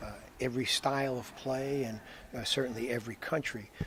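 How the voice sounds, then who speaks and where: An ordinary speaking voice from a man, medium in pitch, moderate in pace, with fairly even intonation. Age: 60s. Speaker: basketball coach. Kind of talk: interview. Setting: Iceland.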